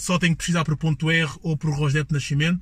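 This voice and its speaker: The recording is very clean, with a silent background. A man speaks at a fairly quick pace and a fairly high pitch. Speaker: podcast host. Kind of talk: casual chat. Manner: animated.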